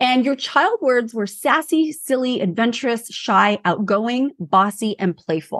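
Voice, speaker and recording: Using an ordinary speaking voice, a woman talks at a fairly slow pace with hardly any pauses, her fairly high pitch carried by lively intonation. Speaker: personal branding expert. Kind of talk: interview chat.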